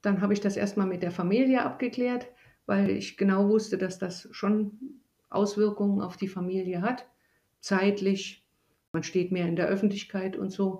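A woman speaks at a moderate pace in a medium pitch, with a dark, mellow tone and fairly even intonation. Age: 60s. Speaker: mayor. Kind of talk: interview.

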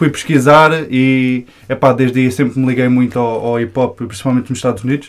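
A man at medium pitch, very fast pace and fairly even intonation. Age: 20s. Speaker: hip-hop media creator. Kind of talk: casual chat.

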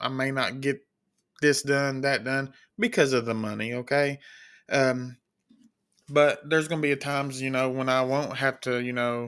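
A man with a Kentucky accent and a medium pitch talks at a moderate pace in monotone, flat intonation, on a very clean recording with a silent background. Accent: Kentucky Southern US, noticeable. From Kentucky, US. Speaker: podcast host, CNA and sheep and goat farmer. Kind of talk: casual solo podcast monologue. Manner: casual, filler-heavy, rambling.

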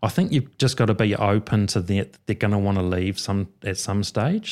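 On a very clean recording with a silent background, a man with a New Zealand accent speaks fairly slowly in a fairly low voice. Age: 50s. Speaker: mortgage adviser. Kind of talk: casual chat.

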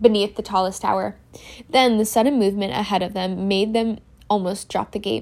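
It is plain reading aloud. The intonation stays fairly even.

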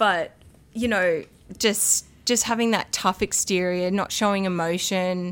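A woman with a medium-pitched voice speaks at a fairly slow pace and fairly even intonation. The recording is very clean, with a silent background. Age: 30s. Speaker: podcast guest sharing recovery story. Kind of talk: casual chat.

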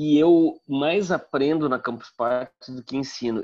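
A plain, everyday voice from a man, fairly high in pitch, at a fairly slow pace with ordinary pitch variation over a quiet background. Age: 50s. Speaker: communication professor and marketer. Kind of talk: casual interview.

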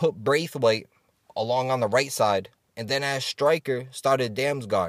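A man's animated, medium-pitched voice with an American accent, at a fairly slow pace. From US Northeast, Rhode Island. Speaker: sports betting podcast host. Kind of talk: casual monologue.

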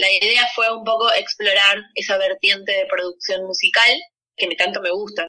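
The speaker has a normal speaking voice, moving at a moderate pace with ordinary pitch variation. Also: woman, medium pitch for a woman. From Argentina, Buenos Aires. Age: 30s. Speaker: musician. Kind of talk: interview.

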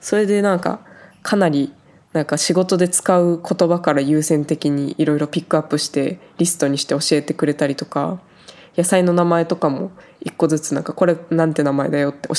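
Her very deep, low pitch carries a dark, mellow tone with ordinary pitch variation. The woman speaks at a fairly quick pace. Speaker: podcaster working on a farm in Switzerland. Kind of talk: casual solo talk. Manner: casual, chatty.

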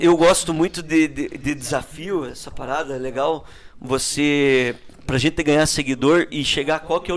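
With an unremarkable speaking voice, a man talks at a moderate pace using fairly even intonation. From Paraná, Brazil (Ponta Grossa). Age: 30s. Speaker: politician. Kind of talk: casual interview.

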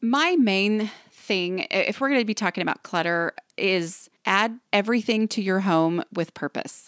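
Her voice an unremarkable speaking voice, a woman at medium pitch talks at a fairly slow pace with hardly any pauses, very even loudness, and ordinary pitch variation, on a very clean recording with a silent background and a dry, close sound with no echo. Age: 40s. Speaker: decluttering expert and author. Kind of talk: interview.

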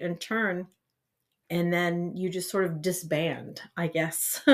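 A woman with an Ohio accent speaks at a fairly slow pace in a fairly low pitch. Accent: Midwestern American (Ohio). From northeastern Ohio. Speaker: school band director. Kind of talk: interview chat.

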